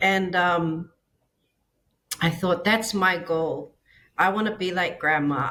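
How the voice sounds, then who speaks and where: A bright, sharp-toned woman speaks at a very slow pace with ordinary pitch variation. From Samoa. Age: 40s. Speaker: businesswoman and business coach. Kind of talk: podcast interview, personal health story. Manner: hesitant, many fillers.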